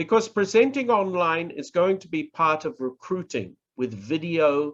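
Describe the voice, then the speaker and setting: This man's voice sits at a high pitch with very wide pitch swings. He talks at a very slow pace. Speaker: professor, public speaking trainer. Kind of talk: online workshop lecture. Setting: online presentation.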